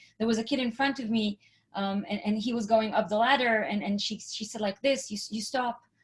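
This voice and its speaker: A woman with an Israeli accent talks at a fairly quick pace. Her voice is fairly high and somewhat breathy. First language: Hebrew. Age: 40s. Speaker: entrepreneurship speaker. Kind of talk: presentation.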